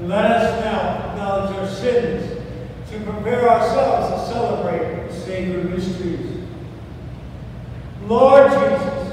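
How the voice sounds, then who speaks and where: A high-pitched man speaks at a fairly slow pace with ordinary pitch variation and long, frequent pauses. Strong room echo surrounds him, along with light background noise. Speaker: priest leading mass. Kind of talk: liturgy. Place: church. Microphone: camera far.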